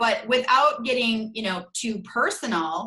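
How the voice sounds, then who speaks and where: A woman with a strong northern US accent talks in a bright, sharp, animated tone. Her intonation is lively, though her pace is fairly slow. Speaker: brand consultant. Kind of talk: interview.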